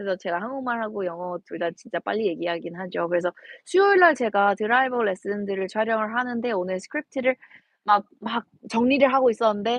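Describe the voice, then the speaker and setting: A woman's medium-pitched voice with an American accent at a very fast pace. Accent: Korean American. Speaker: golf instructor. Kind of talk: live stream chat. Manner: code-switching Korean and English.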